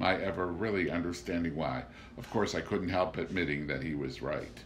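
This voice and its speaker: The voice carries vocal fry, with ordinary pitch variation. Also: man. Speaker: audiobook narrator. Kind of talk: literary audiobook reading, first-person narration of a novel.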